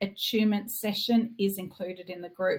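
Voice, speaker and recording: A somewhat breathy woman with an Australian accent, medium in pitch, at a moderate pace. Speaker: reiki teacher. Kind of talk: online masterclass sales pitch.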